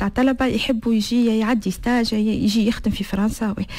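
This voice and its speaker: With fairly even intonation and a fairly high pitch, a woman talks at a moderate pace. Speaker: association founder. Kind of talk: interview. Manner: halting.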